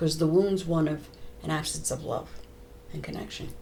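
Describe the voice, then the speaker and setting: A woman with an American accent and a very deep, low pitch speaks at a fairly quick pace with fairly even intonation. Audible room echo and noticeable background noise surround her voice. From United States. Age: 70s. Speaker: trauma therapist. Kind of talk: interview.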